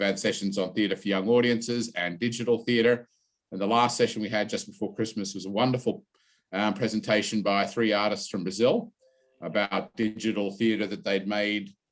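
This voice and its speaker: With an Australian accent, a man talks at a moderate pace in a fairly low pitch and monotone, flat intonation. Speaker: university drama lecturer. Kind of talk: online session introduction. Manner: hesitant, with fillers.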